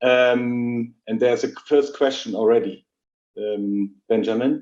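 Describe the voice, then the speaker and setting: With a German accent, a man at medium pitch speaks at a very slow pace in fairly even intonation. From Germany. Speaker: logistics executive. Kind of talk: webinar talk. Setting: live video call webinar.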